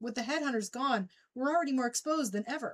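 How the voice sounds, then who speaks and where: The female-sounding voice is a put-on character voice with a high pitch. It races along at a very fast pace. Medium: read story. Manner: anxious.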